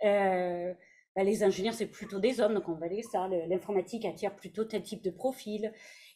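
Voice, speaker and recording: With a dark, mellow tone and medium pitch, a woman talks at a moderate pace and keeps her intonation fairly even. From Canada. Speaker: HR director. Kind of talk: panel discussion. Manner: hesitant, many fillers.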